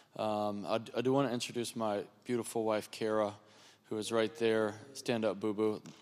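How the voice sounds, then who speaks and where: Crowd noise fills the background as a man speaks at a medium pitch and moderate pace. His intonation is monotone and flat, with long, frequent pauses. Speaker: guest preacher. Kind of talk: sermon opening remarks.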